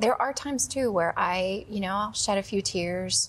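Somewhat breathy, this woman speaks with an American accent at a fairly slow pace. Her intonation is lively. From Wisconsin. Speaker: guest sharing grief story. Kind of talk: testimony. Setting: studio.

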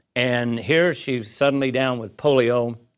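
A man uses an ordinary speaking voice at medium pitch and a moderate pace. His intonation is fairly even, and the background is quiet. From US Midwest, Southern Illinois. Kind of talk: interview testimony.

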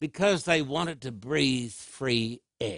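Speaking with an American accent, a man shows vocal fry and very wide pitch swings in a dry, close sound with no echo. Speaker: preacher. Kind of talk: sermon.

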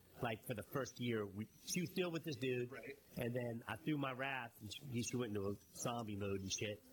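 A man speaks at a moderate pace in a medium pitch. His voice is somewhat breathy, with ordinary pitch variation. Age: 50s. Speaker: podcast co-host. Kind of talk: casual chat. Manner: animated.

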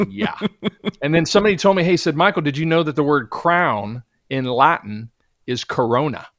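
A man with a plain, everyday voice speaks at a moderate pace in a fairly high pitch, with lively intonation. The recording is very clean, with a silent background. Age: 50s. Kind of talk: casual interview testimony.

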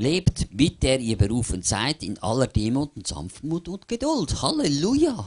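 At a fairly slow pace and with hardly any pauses, the animated voice has vocal fry, very wide pitch swings and big swings in loudness, in a dry, close sound with no echo. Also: man, fairly high pitch for a man. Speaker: preacher. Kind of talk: sermon with line-by-line interpreter. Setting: church. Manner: animated, fervent, pausing for interpretation.

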